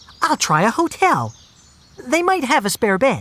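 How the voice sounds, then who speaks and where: Put on as a character, this high voice makes very wide pitch swings at a moderate pace. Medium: read story.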